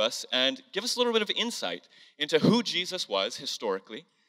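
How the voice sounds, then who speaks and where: Against a quiet background, a man speaks at a moderate pace in a bright, sharp tone with vocal fry. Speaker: church host. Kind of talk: sermon-style introduction. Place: church. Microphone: handheld.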